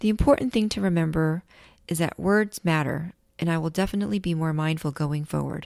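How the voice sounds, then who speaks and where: A woman with a plain, everyday voice, a fairly low pitch and ordinary pitch variation, at a fairly quick pace. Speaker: podcast host. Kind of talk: interview.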